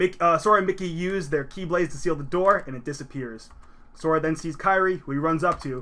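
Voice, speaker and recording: This man's voice is bright and sharp, pitched fairly high, with ordinary pitch variation. He talks at a very fast pace. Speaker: video game presenter. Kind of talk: slideshow recap lecture. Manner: casual, with fillers and self-corrections.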